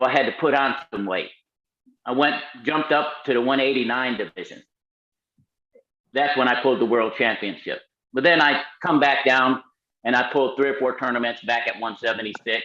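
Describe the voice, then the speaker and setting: A man speaks at a fairly quick pace and a medium pitch. Long, frequent pauses break up his speech. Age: 60s. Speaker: arm wrestler. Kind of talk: casual podcast interview. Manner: animated, loud exclamations.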